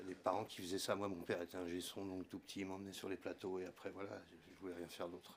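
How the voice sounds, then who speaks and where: A man with a very deep, low pitch speaks in a monotone, flat way at a fairly quick pace. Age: 60s. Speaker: retired sound engineer. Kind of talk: casual chat.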